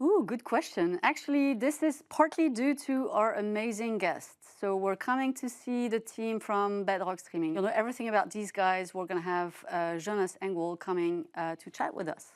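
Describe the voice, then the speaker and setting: In a very clean recording with a silent background, a woman with a fairly high pitch speaks at a moderate pace with lively intonation and hardly any pauses. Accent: French. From France. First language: French. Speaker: podcast host, streaming media analyst. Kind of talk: casual chat.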